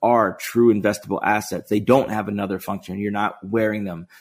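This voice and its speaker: In a very clean recording with a silent background, a man of fairly low pitch speaks in a normal speaking voice with fairly even intonation. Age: 40s. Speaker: sneaker marketplace co-founder. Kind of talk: interview.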